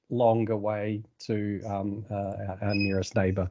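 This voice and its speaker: This man talks with a New Zealand accent. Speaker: data analytics expert, author. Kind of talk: technical presentation. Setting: video call. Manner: halting, many fillers.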